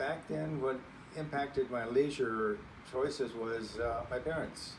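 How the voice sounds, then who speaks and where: A man with an American accent at medium pitch and a fairly slow pace, with ordinary pitch variation and audible room echo. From California Central Valley. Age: 70s. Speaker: grandparent interviewee. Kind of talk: interview.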